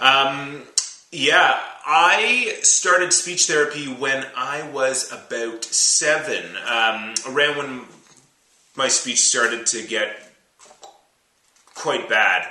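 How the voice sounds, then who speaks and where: A very slow pace with long, frequent pauses and audible room echo. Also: man, fairly high pitch for a man, ordinary pitch variation. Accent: Canadian. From Canada, Ottawa, Ontario. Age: 30s. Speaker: musician and rapper talking about stuttering. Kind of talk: personal testimony interview. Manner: halting with repeated sounds.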